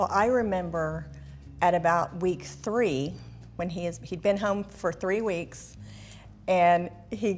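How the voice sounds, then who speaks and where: Fairly low-pitched with vocal fry, a woman speaks at a very slow pace with ordinary pitch variation and long, frequent pauses. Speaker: daughter of COVID survivor. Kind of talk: interview answer.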